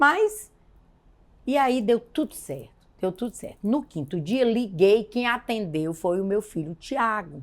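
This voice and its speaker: Very wide pitch swings at a fairly slow pace. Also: woman, fairly high pitch for a woman. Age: 60s. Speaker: woman of faith sharing her testimony. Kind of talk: testimony.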